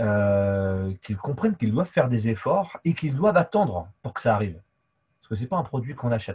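Over a silent background on a very clean recording, a man speaks at a fairly quick pace in a somewhat breathy, medium-pitched voice, with very wide pitch swings and big swings in loudness. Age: 40s. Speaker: sports coach. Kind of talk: casual interview. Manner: talkative.

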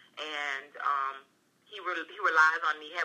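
A woman speaks at a very deep, low pitch in a monotone, flat intonation, with noticeable background noise. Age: 30s. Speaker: entrepreneur and paralegal. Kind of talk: casual chat.

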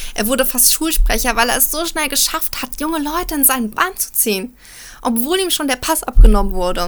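Over noticeable background noise, a woman with a high pitch talks at a fairly quick pace with lively intonation. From Germany, Frankfurt. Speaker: journalist commentator. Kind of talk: opinion commentary.

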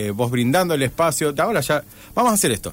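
A man with a normal speaking voice, fairly high pitch and lively intonation. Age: 40s. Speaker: radio host. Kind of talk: casual chat. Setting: radio studio.

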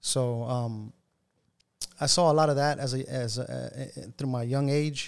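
Intonation stays fairly even while the talking proceeds fairly slowly. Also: man, medium pitch for a man. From South Texas (Rio Grande Valley). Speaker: pastor. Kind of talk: testimony. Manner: halting, many fillers.

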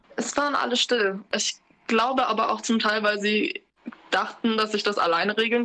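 A woman's fairly high pitch and fairly even intonation amid noticeable background noise. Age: 20s. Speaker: interview guest sharing racism experiences. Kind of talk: personal testimony in casual chat. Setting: remote, sitting in her kitchen.

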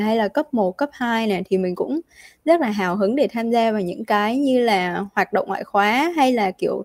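Dry and close with no echo in a very clean recording with a silent background, a woman's dark, mellow voice sits fairly high in pitch with lively intonation. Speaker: university student. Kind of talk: casual interview.

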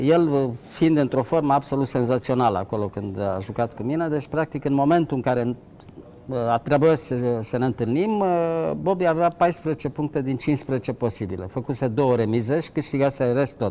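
A man's dark, mellow voice at medium pitch, with lively intonation and a moderate pace. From Romania, Ploiești. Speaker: chess grandmaster. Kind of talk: interview.

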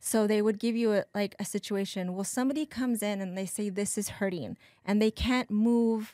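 With an unremarkable speaking voice, a woman talks at a medium pitch and moderate pace, her intonation fairly even. The recording is very clean, silent in the background, and dry and close with no echo. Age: 40s. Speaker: massage therapist and birth doula. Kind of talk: casual chat.

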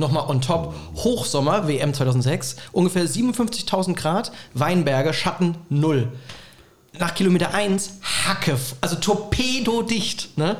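Very slowly and at a very even loudness, a man speaks at a high pitch with lively intonation over noticeable background noise. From Rhineland-Palatinate, Bad Kreuznach area. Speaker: comedian and university lecturer. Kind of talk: casual chat. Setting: remote call.

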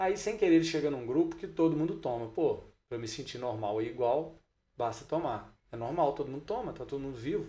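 Lively intonation runs through a man's fairly high-pitched voice, which has a dark, mellow tone. He speaks at a fairly quick pace. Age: 40s. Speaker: triathlon coach and exercise physiologist. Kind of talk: casual interview chat.

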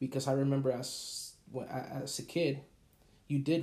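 Somewhat breathy, a man's medium-pitched voice carries a dark, mellow tone. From Puerto Rico. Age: 30s. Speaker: podcast host. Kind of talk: casual monologue.

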